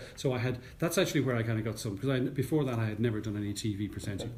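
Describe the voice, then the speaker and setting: A man speaks in an Irish accent at a very fast pace with hardly any pauses, his medium-pitched voice somewhat breathy. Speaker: news anchor and radio presenter. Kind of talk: interview answer. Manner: calm, composed.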